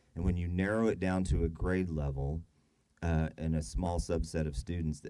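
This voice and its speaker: A man's very deep, low voice, dark and mellow in tone, at a moderate pace. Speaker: school district staff presenter. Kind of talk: presentation at board meeting. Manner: halting, many fillers and restarts.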